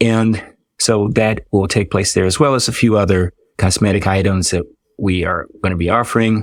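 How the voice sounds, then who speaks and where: A normal speaking voice with an American accent moves at a moderate pace with fairly even intonation, captured in a very clean recording with a silent background. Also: man. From Washington DC area. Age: 60s. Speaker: dermatologist. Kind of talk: podcast interview.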